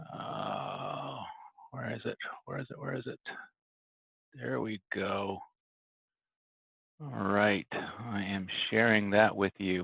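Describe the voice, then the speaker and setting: Quiet and very slow, a man with a fairly low pitch speaks with lively intonation and long, frequent pauses. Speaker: network administrator vlogger. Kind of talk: casual vlog. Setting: office.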